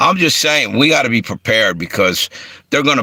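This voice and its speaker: Speaking with a Philadelphia accent, a man of medium pitch moves through very wide pitch swings. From Philadelphia and Delaware. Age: 60s. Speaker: livestream host. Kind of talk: casual livestream talk.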